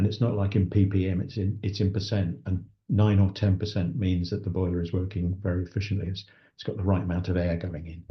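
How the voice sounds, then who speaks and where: This man has a very deep, low voice with a southern English accent and a somewhat breathy quality. He talks at a very fast pace with fairly even intonation. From England, Essex. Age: 60s. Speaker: sustainability consultant. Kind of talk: interview conversation. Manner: halting.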